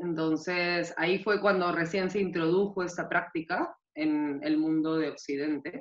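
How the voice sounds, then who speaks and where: With a Peruvian accent, a woman speaks at a fairly slow pace, her fairly low pitch held in fairly even intonation. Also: hardly any pauses. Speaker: nutritionist. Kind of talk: interview.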